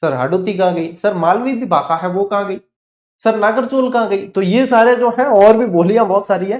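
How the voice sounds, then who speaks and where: A man with a Rajasthani accent talks at a moderate pace in a high pitch with ordinary pitch variation. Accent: Rajasthani Hindi, Marwari with Godwari touch. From Rajasthan, Marwar (Godwar area). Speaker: online exam-prep teacher. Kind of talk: online lecture. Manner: conversational, repetitive drilling.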